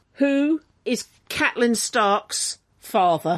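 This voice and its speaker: A woman's put-on character voice, gravelly and fairly high, swinging very widely in pitch at a very slow pace. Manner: grave, heavy, serious.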